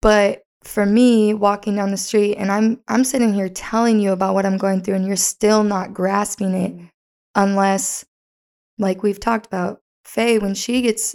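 Through a very clean recording with a silent background, a woman at a medium pitch speaks fairly slowly in a monotone, flat way. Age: 20s. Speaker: podcast host. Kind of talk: casual chat.

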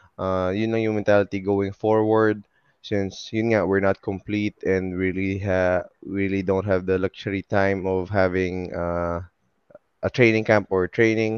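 Close and dry with no echo, a man's fairly low voice goes at a fairly slow pace in a flat monotone. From Philippines, Bacolod City. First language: Filipino (Tagalog/Hiligaynon). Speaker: professional basketball player. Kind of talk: casual interview.

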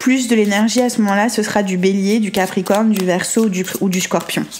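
Music plays in the background as the speaker talks at a fairly quick pace with fairly even intonation. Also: woman. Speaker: tarot card reader. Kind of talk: tarot reading monologue.

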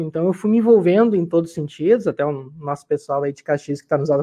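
Dark, mellow male speech, high in pitch, with ordinary pitch variation. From Rio Grande do Sul, Vale do Taquari. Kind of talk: casual chat.

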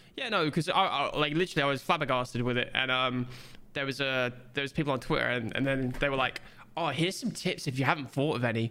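A man's bright, sharp, fairly high voice in a British accent, very fast, with ordinary pitch variation, on a very clean recording with a silent background. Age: 20s. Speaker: podcast co-host. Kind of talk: casual chat.

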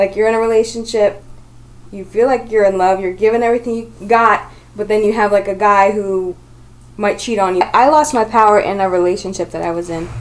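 A woman speaks at a fairly quick pace in a plain, everyday voice, her medium pitch held to a fairly even intonation. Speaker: panel discussion participant. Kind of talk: casual reflective conversation. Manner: reflective, conversational.

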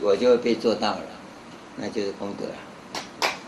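Noticeable background noise and audible room echo surround the speaker. He is a man with a medium pitch talking fairly slowly. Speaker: Buddhist monk teacher. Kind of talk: dharma lecture. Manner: conversational with frequent filler particles.

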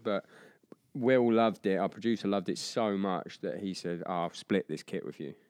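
Speech moves at a moderate speed. The pitch rises and falls in an ordinary way. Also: man. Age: 30s. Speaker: drummer and drumming podcast host. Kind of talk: casual interview.

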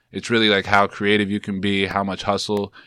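Talking at a very fast pace, a man with a New York accent has a fairly low pitch and a bright, sharp tone on a very clean recording with a silent background. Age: 20s. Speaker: entrepreneur and brand founder. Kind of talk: casual chat.

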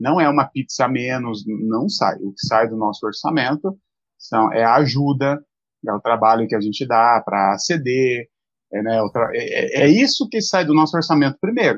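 With lively intonation, a man speaks at a medium pitch in a plain, everyday voice. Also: moderate pace. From São Paulo state, Brazil (Mogi das Cruzes). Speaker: pastor. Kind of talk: live-stream interview.

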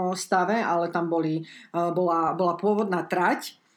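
This woman has a normal speaking voice, fairly low in pitch with ordinary pitch variation. She talks at a fairly slow pace on a very clean recording with a silent background. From Slovakia. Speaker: former pro cyclist, teacher and coach. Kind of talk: casual interview.

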